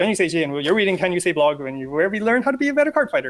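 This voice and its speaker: His intonation is lively throughout. This man speaks at a very fast pace. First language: not English (English is third language). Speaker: card game content creator. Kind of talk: interview.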